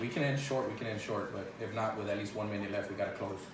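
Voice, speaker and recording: A man's fairly low, fairly even voice at a very fast pace, with noticeable background noise and audible room echo. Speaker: basketball podcast host. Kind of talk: casual sports podcast. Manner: loud.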